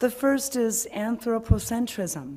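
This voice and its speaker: Speaking at a fairly slow pace, a woman uses lively intonation and has a dark, mellow tone. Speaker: worship leader; speaker. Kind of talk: reading aloud. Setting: church. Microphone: podium.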